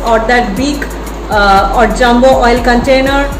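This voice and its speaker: A woman's fairly slow speech over background music. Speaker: fitness vlogger. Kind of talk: casual vlog chat. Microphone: phone near.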